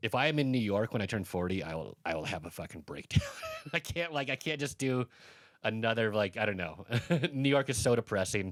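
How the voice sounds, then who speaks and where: An ordinary speaking voice at a fairly quick pace. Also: man, medium pitch for a man, lively intonation. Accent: American. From Colorado, US. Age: 40s. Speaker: comedian. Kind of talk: casual chat.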